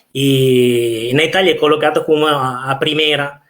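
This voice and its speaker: Speaking with an Italian accent, a man keeps a medium pitch and fairly even intonation. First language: Italian (speaking Portuguese). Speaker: professor of architecture. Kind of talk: lecture. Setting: online live talk. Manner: halting, many fillers.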